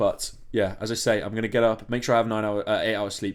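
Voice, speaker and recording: A man talks in a fairly low pitch with an English accent. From England. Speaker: entrepreneur vlogger. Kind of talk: casual vlog monologue. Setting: home desk, late at night. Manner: casual, rambling with fillers.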